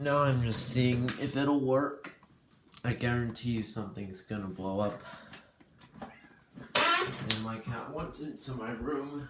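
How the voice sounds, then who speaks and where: The speaker talks at a very slow pace with long, frequent pauses, and noticeable background noise can be heard. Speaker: electronics repair hobbyist. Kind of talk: casual tutorial talk to camera.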